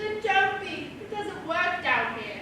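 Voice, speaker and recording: The speaker uses a put-on character voice at an extremely high pitch and a fairly slow pace. Clear background noise and strong echo fill the recording. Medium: stage play. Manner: fussy, exclamatory.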